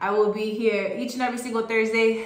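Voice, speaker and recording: A woman at a medium pitch speaks at a moderate pace, with audible room echo and noticeable background noise. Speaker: motivational group call host. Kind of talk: motivational talk. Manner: animated.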